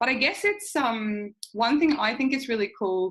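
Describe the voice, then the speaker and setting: The woman's voice has a bright, sharp tone. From Sweden. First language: Swedish. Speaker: podcast host and relocation consultant. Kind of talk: interview.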